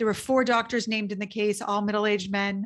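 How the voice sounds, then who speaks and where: A woman talks fairly quickly with a normal speaking voice and a fairly high pitch. The background is quiet. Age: 40s. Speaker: trial attorney and keynote speaker. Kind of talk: casual interview conversation.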